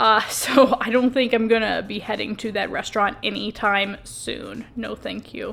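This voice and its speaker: A woman speaks at a moderate pace with hardly any pauses and big swings in loudness. Noticeable background noise runs underneath. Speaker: travel vlogger, hotel reviewer. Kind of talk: casual vlog narration. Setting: hotel room.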